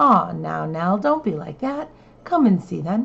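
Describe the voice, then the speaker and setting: A soft-spoken woman's put-on character voice, medium in pitch, at a moderate pace. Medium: read story. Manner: soft, low, folksy.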